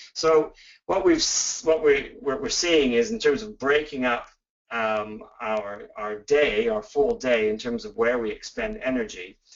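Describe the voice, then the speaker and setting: Speaking with a Canadian accent, a man talks at a fairly slow pace. His fairly high voice has very wide pitch swings. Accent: Canadian, noticeable to UK listeners. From Canada. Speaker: professor. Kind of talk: webinar lecture. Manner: hesitant, many fillers.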